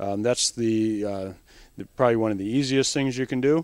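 A man with a normal speaking voice talks at a moderate pace in a fairly low pitch with fairly even intonation. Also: dry sound with no echo. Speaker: presenter. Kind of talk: tutorial. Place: shop. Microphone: handheld.

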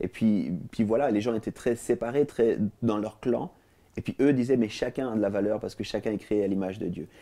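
With a dark, mellow tone and ordinary pitch variation, a man speaks at a moderate pace over a quiet background. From Switzerland, Lausanne; Switzerland. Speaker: TV talk show guest. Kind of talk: interview; interview answer. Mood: calm, reflective. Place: studio. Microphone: lapel.

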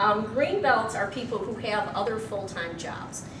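Noticeable background noise sits behind the speaker. A woman talks at a moderate pace. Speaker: presenter. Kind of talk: lecture. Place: meeting room. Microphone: camera far.

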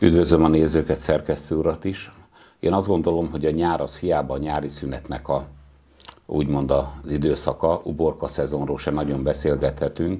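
A man speaks at a very deep, low pitch with vocal fry. His intonation is a flat monotone, and the background is quiet. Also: moderate pace. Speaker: town mayor. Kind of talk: interview. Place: studio. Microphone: lapel.

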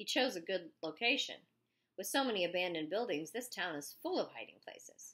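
Lively intonation in a natural reading voice, with a quiet background.

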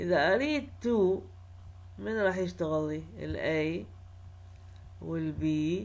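A woman with an Iraqi accent, very slow, with long and frequent pauses and audible room echo. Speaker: university lecturer. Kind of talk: lecture.

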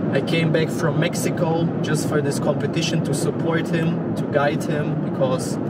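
Loud noise fills the background as a man talks. There is no echo, and the sound is dry. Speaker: fitness coach. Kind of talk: casual vlog chat. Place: car. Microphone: camera far.

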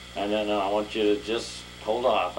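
A man speaks in a monotone with flat intonation. Noticeable background noise runs under his voice. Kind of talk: improvised acted monologue. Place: home room. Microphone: old recording.

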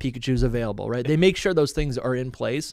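A man speaks at medium pitch with ordinary pitch variation. The background is quiet and the sound is dry with no echo. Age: 30s. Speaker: podcast host. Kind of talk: casual interview chat. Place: home room. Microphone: studio mic.

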